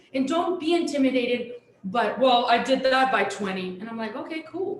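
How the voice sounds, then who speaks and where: A woman with a Mexican accent speaks over noticeable background noise, her voice carrying an audible echo from the room. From Sonora, Mexico. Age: 40s. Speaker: chef. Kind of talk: live panel conversation.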